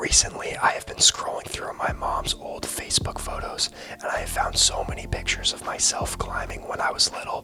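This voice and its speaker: A man whispers with hardly any pauses while music plays in the background. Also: fairly quick pace, big swings in loudness. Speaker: video essayist. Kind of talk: personal reflective monologue. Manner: whispered.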